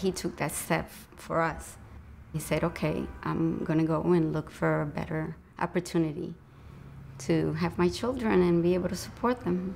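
Music in the background behind a woman's moderate-paced speech. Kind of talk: interview answer. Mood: warm, reflective. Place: shop.

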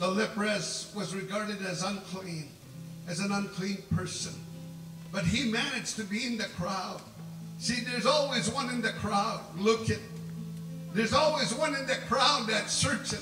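A man talks in a raised, projected voice at a moderate pace with ordinary pitch variation and long, frequent pauses while clear music plays behind him. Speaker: preacher. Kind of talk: sermon. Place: tent. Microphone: camera far.

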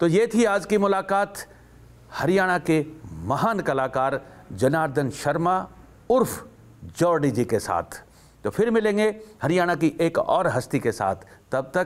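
His pitch high and his intonation lively, a man speaks at a fairly slow pace with long, frequent pauses. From Haryana. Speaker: TV interview host. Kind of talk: show intro and outro; interview conversation. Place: studio. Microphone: lapel.

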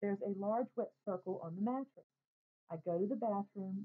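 Ordinary pitch variation shapes a natural reading voice. Little sound intrudes, as the background is quiet.

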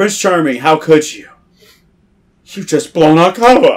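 A man uses a put-on character voice pitched high. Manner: sarcastic.

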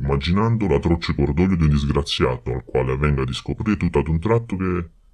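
Pitched very deep and low, a man with a dark, mellow tone speaks at a fairly quick pace with lively intonation. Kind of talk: audiobook reading of a literary novel. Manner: measured, expressive narrator's delivery.

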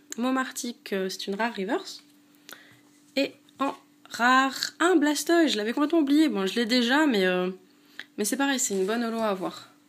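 A high-pitched woman's voice at a moderate pace, broken by long, frequent pauses. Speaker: YouTuber opening trading card packs. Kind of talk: casual unboxing video. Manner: hesitant, many filler sounds. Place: home room. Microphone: phone near.

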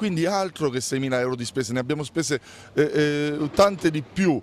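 Fairly quick and with ordinary pitch movement, a man delivers his words. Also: dry sound with no echo. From Abruzzo, Italy. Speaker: mayor. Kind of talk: interview. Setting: outdoors. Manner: combative. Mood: dismissive, mildly irritated. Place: street. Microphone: handheld.

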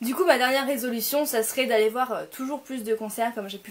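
A woman speaks at a fairly quick pace. Her pitch variation is ordinary. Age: 20s. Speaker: YouTuber. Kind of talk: vlog to camera. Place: home room. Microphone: phone near.

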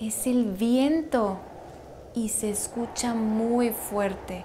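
A woman at a very slow pace, ordinary pitch variation, music in the background. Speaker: actress in language lesson skit. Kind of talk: scripted slow conversation for learners. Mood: playful, expressive, surprised. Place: home room.

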